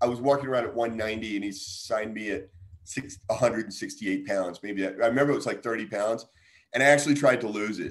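A man with an American accent talks at a fairly quick pace in a plain, everyday voice, at medium pitch with ordinary pitch variation. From New York, then US South. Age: 50s. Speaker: martial artist and author; guest. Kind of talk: casual interview. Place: kitchen. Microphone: video call.

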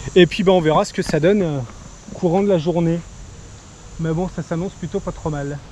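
Man at a moderate pace, fairly even intonation, dry sound with no echo, and light background noise. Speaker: fishing vlogger. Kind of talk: casual vlog chat. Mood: cheerful, relaxed. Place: open country. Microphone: phone near.

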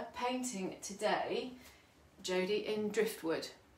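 Over light background noise, a woman speaks at a fairly high pitch. Audible room echo surrounds her voice. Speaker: furniture painter. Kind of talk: live tutorial. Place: home room. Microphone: phone near.

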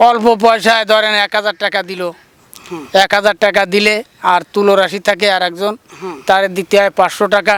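The man has a high pitch and a bright, sharp tone, delivered with monotone, flat intonation. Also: dry, close sound with no echo. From Bangladesh, Khulna area (Dighalia). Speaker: traditional snake healer and fisherman. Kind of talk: interview. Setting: outdoors. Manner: halting.

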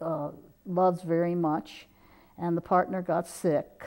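A woman's fairly low, dark and mellow voice at a fairly slow pace, against a quiet background. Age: 70s. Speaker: author. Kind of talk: interview. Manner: halting, with fillers; energetic. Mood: warm, reflective. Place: studio. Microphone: lapel.

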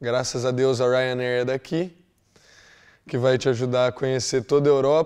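A man with a medium pitch speaks at a moderate pace with fairly even intonation and long, frequent pauses against a quiet background. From Brazil, Londrina, Paraná; Paraná, Brazil. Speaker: exchange student. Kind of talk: testimonial. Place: office.

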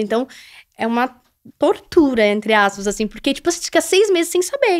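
Against a quiet background, a woman speaks at a moderate pace with a high pitch. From southern Brazil, Santa Catarina. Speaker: influencer and reality show contestant; influencer. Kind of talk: casual interview. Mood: relaxed, personal storytelling. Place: studio. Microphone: studio mic.

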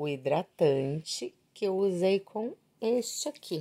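Lively intonation and a dark, mellow tone from a woman, against a quiet background. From Brazil, São Paulo ABC region; São Paulo, Brazil. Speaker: beauty vlogger. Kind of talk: casual product review vlog. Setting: at home. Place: home room. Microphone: phone near.

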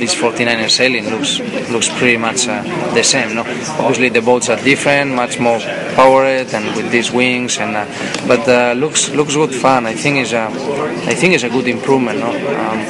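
Over loud background noise, a man speaks at a moderate pace with long, frequent pauses. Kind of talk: interview answer. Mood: relaxed, occasional laughs. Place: hall.

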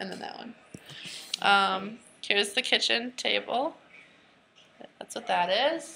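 Pausing long and often, a woman with a medium pitch talks with lively intonation and vocal fry. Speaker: college student. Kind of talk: casual home tour to camera.

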